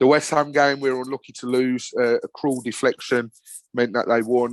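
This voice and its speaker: Over a quiet background, a man with a Birmingham accent and a medium pitch talks at a moderate pace in monotone, flat intonation. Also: dry, close sound with no echo. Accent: broad Brummie. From Birmingham, England. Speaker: football podcast presenter, fan. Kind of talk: casual chat. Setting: podcast interview.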